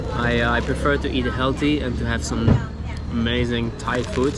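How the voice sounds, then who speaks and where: A man at a fairly slow pace, dry sound with no echo, loud background noise underneath. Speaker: travel food vlogger. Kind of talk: casual vlog chat. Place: market. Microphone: phone near.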